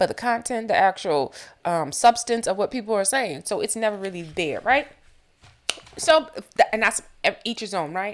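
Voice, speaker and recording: A woman with an American accent speaks in an animated tone at a moderate pace. Her fairly high pitch swings very widely. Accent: sometimes southern. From Boston. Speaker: podcast host. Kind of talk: casual commentary.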